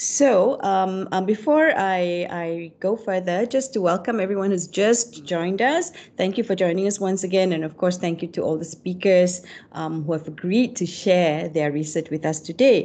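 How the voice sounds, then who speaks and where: A woman at a moderate pace, with ordinary pitch variation and hardly any pauses. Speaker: webinar host. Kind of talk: moderator introduction. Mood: warm, cheerful. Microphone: video call.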